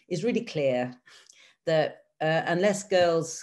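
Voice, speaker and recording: A woman speaks at a fairly slow pace with a British accent. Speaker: government development official. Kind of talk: panel presentation. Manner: hesitant fillers.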